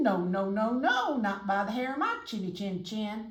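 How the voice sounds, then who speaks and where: Putting on a character voice, a woman speaks at a fairly high pitch. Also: moderate pace. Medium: read story. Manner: brash.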